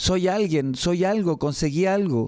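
In a Chilean accent, a man speaks at a moderate pace with a high pitch and a dark, mellow tone. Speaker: radio host, church program presenter. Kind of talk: casual chat about bible teaching. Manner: halting, with repeated words.

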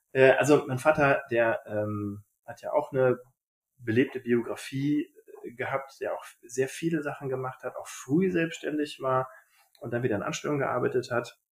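A man talks at a moderate pace and a medium pitch, his voice somewhat breathy. His pitch varies in an ordinary way. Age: 30s. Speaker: general practitioner and emergency doctor. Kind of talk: interview. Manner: hesitant fillers.

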